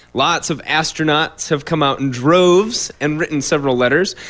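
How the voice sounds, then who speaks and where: Speaking with an American accent, a man has an ordinary speaking voice, fairly high in pitch, with ordinary pitch variation. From Iowa, Fort Dodge. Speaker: radio show co-host. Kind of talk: casual political discussion.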